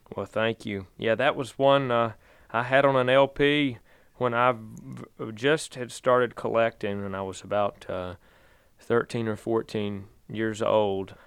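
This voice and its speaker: In a quiet setting, a man with a Virginia accent talks at a very slow pace, with long, frequent pauses and fairly even intonation. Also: medium pitch for a man. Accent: Southern US (Virginia). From Virginia, Danville. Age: 30s. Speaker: bluegrass singer. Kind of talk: interview.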